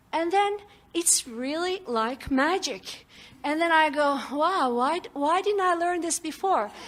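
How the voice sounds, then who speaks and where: A woman's extremely high-pitched voice at a fairly slow pace. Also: lively intonation. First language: non-English. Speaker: audience member at seminar. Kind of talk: audience question and testimony. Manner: animated.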